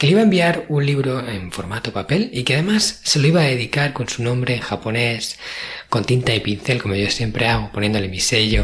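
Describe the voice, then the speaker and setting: Noticeable background noise behind a man's medium-pitched voice, lively in intonation and fairly quick in pace. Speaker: podcast host. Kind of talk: solo podcast monologue.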